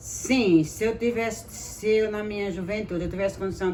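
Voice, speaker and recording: At a fairly slow pace, a woman speaks with fairly even intonation amid audible room echo. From rural Alagoas, Brazil (Ibateguara). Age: old. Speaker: interviewee, retired domestic worker. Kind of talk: interview.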